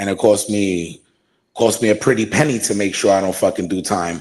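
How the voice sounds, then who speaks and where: In a very clean recording against a silent background, the talking comes at a fairly quick pace. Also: man. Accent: American. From Brooklyn, New York. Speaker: wrestling ring announcer. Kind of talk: podcast interview answer. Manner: casual, profane.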